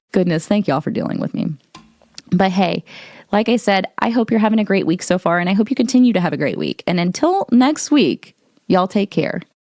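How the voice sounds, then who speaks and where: At a fairly quick pace, a woman speaks with a US Midwestern accent in a dry, close sound with no echo. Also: medium pitch for a woman. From Ohio, US Midwest. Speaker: podcast host and model. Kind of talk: casual podcast monologue. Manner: halting, many repeated words; audible mouth breathing.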